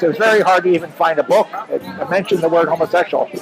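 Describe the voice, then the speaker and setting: Noticeable background noise sits behind a man with an American accent whose pitch varies in an ordinary way. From central Pennsylvania, US. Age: 70s. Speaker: retired computer systems analyst. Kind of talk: personal testimony interview.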